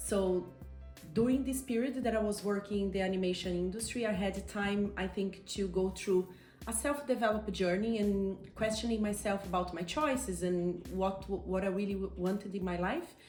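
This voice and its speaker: A woman with a Brazilian accent talks at a moderate pace with ordinary pitch variation, and room echo is audible. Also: medium pitch for a woman. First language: Portuguese. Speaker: coach and entrepreneur. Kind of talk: interview. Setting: outdoors on a terrace.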